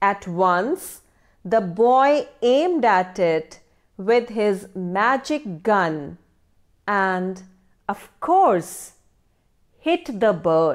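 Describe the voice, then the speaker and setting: A woman with a warm tone and medium pitch speaks at a very slow pace, with long, frequent pauses, lively intonation and very even loudness. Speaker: English teacher. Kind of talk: educational story voice-over, narrating the tale to students. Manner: clear, measured teacherly pace, storytelling expressiveness; warm and encouraging, addressing students directly.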